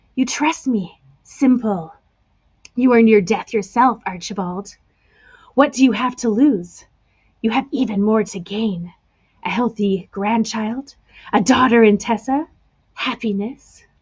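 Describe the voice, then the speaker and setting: Putting on a croaky character voice, a woman talks at a fairly high pitch and a fairly slow pace, with long, frequent pauses. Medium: read story. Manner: blunt, persuasive.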